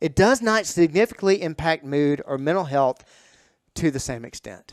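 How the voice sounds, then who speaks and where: An animated man speaks with a fairly high pitch. The sound is dry and close, with no echo. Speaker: fitness trainer and podcast host. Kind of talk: podcast monologue. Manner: fast.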